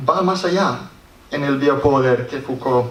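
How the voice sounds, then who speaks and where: Amid noticeable background noise and audible room echo, a man with an English accent speaks at a very slow pace with ordinary pitch variation. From Scotland. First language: English (speaking Spanish). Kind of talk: conference talk read aloud. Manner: halting, with restarts.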